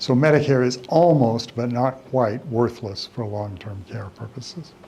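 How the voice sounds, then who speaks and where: With audible room echo, a man of medium pitch talks at a fairly slow pace with ordinary pitch variation. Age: 70s. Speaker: elder law attorney. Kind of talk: lecture. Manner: casual, conversational with repetitions.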